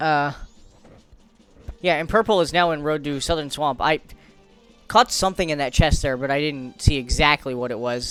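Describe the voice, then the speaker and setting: With music in the background, a man speaks fairly quickly at a fairly high pitch with ordinary pitch variation. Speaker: speedrun race commentator. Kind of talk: live esports-style race commentary. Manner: casual, enthusiastic, with frequent filler words.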